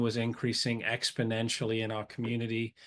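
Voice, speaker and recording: There is a quiet background behind a man speaking at a medium pitch. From UK, English-Scottish border. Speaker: anti-trafficking nonprofit founder. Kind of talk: webinar presentation.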